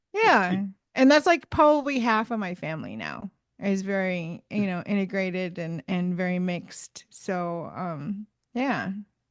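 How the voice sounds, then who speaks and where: A woman with a normal speaking voice talks at a fairly slow pace and medium pitch, her intonation lively against a quiet background. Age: 30s. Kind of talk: casual chat.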